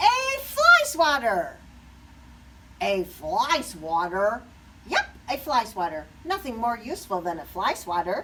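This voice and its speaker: Against clear background noise, a woman uses a put-on character voice, high-pitched and fairly slow. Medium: read story.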